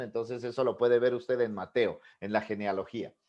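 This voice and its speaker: This man speaks at a moderate pace. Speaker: pastor. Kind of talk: sermon-style teaching class. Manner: animated.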